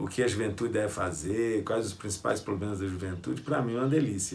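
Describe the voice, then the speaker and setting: A man's fairly low, somewhat breathy voice with ordinary pitch variation and audible room echo. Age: 60s. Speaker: pastor and youth ministry leader. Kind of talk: sermon-style lecture.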